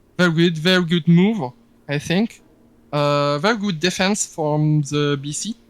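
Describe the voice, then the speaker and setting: A man in a French accent, fairly high-pitched, fairly slow in pace, with ordinary pitch variation. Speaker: online game player. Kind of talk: casual interview. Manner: halting.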